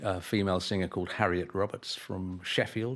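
A man speaks at a moderate pace with a very deep, low pitch. The recording is very clean, with a silent background. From England. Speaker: music publisher. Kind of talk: interview.

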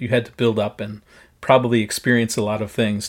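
A man talks at a fairly quick pace and medium pitch with fairly even intonation, an ordinary speaking voice. The recording is very clean, with a silent background. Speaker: podcast host. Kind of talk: interview chat.

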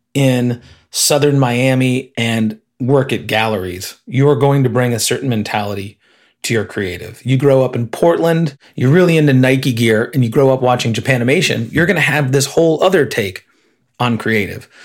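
In a very clean recording with a silent background, a man with an American accent uses a plain, everyday voice at medium pitch, moderate pace and ordinary pitch variation. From Illinois. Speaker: advertising creative director. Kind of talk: interview conversation.

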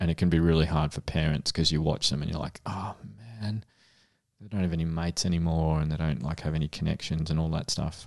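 A man with an Australian accent speaks at a very fast pace. His pitch is very deep and low, with fairly even intonation. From Australia, Melbourne (Frankston). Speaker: paediatrician and podcast co-host. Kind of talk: casual chat.

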